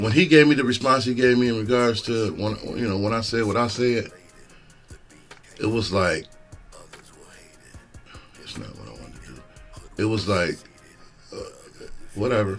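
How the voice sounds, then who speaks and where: The speech moves at a moderate pace with long, frequent pauses, ordinary pitch variation and big swings in loudness. Music plays in the background. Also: man. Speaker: stand-up comedian. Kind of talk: casual podcast talk.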